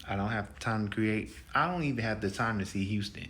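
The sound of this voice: The tone is fairly bright, with ordinary pitch variation. Delivery moves at a fairly quick pace. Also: man, fairly low pitch for a man.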